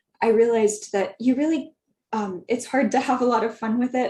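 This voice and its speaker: The tone is dark and mellow, somewhat breathy. Intonation stays fairly even. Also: woman. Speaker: career panelist, public health writer. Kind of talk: virtual panel discussion. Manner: wordy, many filler ums.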